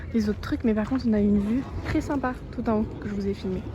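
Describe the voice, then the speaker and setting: Noticeable background noise and audible room echo surround this recording. A woman speaks at a very fast pace. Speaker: travel vlogger. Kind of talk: casual vlog narration.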